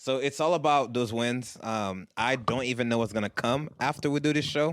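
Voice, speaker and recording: Using an ordinary speaking voice, a man speaks at medium pitch and a moderate pace with ordinary pitch variation. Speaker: podcast host. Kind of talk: casual chat.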